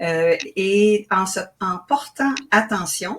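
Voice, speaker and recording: A woman with a somewhat breathy, medium-pitched voice speaks with lively intonation. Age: 60s. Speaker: author and spiritual teacher. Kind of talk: interview. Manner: hesitant, with fillers.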